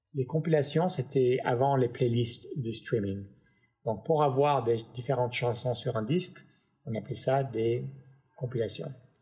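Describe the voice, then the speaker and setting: Somewhat breathy, this man's voice has a dark, mellow tone. His pitch is medium, with ordinary variation. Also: fairly slow pace. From Paris, then Los Angeles from age 9. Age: 50s. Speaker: music tech entrepreneur. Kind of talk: interview conversation. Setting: home studio.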